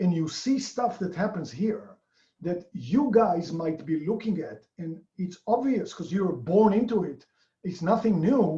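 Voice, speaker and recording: A man speaks fairly slowly in a high, dark, mellow voice. His intonation is lively. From outside the US. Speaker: real estate investor. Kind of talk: interview.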